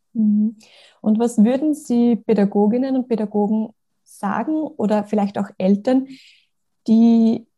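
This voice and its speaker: Her voice is fairly high for a woman, with a dark, mellow tone and a somewhat breathy quality. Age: young. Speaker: podcast host and kindergarten teacher. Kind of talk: interview.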